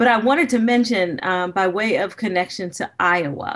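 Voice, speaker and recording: Over a quiet background, the speaker has an American accent and ordinary pitch variation. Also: woman. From US Midwest, Gary, Indiana; Indiana. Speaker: business school professor. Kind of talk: keynote lecture. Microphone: webcam.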